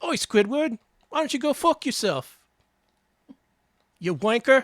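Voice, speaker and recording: This put-on character voice sits at fairly high pitch and moves at a moderate pace. The recording is very clean, with a silent background. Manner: cursing, insulting.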